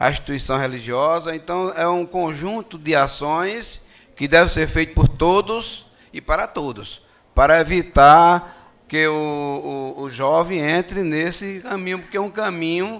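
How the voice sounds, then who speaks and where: A man with a fairly high pitch speaks at a fairly slow pace, his tone bright and sharp and his pitch variation ordinary. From Rio Grande do Norte, Brazil (Natal). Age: 60s. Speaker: retired police officer speaking at a public hearing. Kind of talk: public hearing speech. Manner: halting, with fillers and repetitions.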